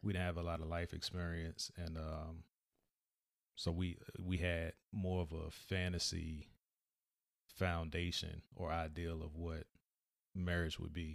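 A man speaks in a very deep, low voice with flat, monotone intonation, at a fairly slow pace broken by long, frequent pauses. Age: 40s. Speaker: podcast co-host. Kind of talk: casual chat.

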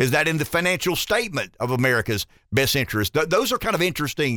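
A man with a Southern US accent talks at a very fast pace, his fairly high voice bright and sharp with very wide pitch swings. The recording is very clean and the background silent. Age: 50s. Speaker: radio talk show host. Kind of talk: talk radio. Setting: studio.

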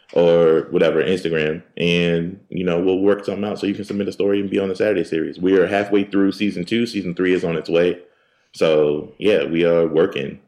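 Speaking at a fairly quick pace, a man with an American accent has a very deep, low pitch and fairly even intonation. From Philadelphia, US. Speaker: podcaster, podcast network founder. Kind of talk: casual interview chat. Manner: relaxed, unbothered.

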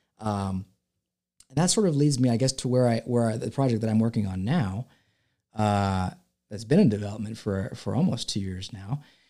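In a Californian accent, a man speaks at a moderate pace with a medium pitch and ordinary pitch variation. His tone is dark and mellow, and the recording is very clean with a silent background. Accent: Californian American English. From California, San Francisco Bay Area. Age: 30s. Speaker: filmmaker. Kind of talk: casual interview chat. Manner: halting, many fillers and repeats.

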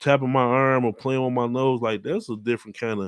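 The sound is dry and close, with no echo. A man speaks at a moderate pace with a medium pitch. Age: 30s. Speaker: podcast host. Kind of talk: casual chat.

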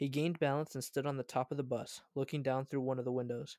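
A man talks in a plain, everyday voice, fairly high in pitch. His intonation is fairly even, with a dry, close sound with no echo. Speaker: podcast host. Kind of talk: casual banter, then reading a story aloud in dramatic narration. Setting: remote recording, each on own audio. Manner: teasing, joking; in narration, tense and vivid with character voices.

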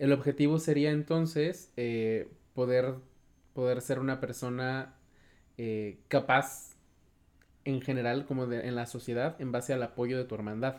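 With long, frequent pauses, a man speaks at a fairly slow pace in a medium pitch and fairly even intonation, on a very clean recording with a silent background. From Mexico, Cortázar (Guanajuato). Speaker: podcast host. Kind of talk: interview conversation.

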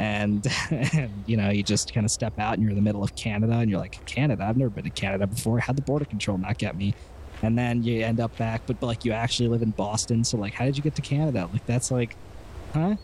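There is noticeable background noise as a man speaks at a very fast pace. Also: medium pitch for a man, ordinary pitch variation, very even loudness. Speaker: tabletop game player. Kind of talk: tabletop roleplaying game.

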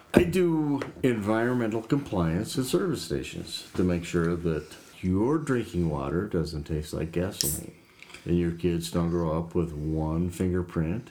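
A man mumbles quietly at a moderate pace in a put-on character voice, very deep and low with lively intonation. Clear background noise is present. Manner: mumbling, quiet.

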